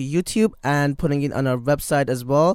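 A man speaks at a fairly high pitch. The recording is very clean, with a silent background. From Iran. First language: Persian. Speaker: student organizer. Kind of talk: radio interview. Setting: studio. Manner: halting, many fillers.

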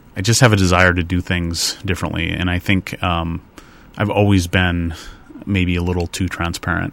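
A man's very deep, low voice over noticeable background noise. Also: moderate pace. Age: 30s. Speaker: design firm owner and public speaker. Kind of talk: casual radio interview. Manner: talkative, enthusiastic, with frequent ums and self-restarts.

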